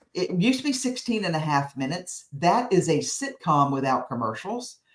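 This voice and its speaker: Loud and with very wide pitch swings, a woman speaks with an American accent. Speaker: speaking coach. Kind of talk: interview. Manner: energetic.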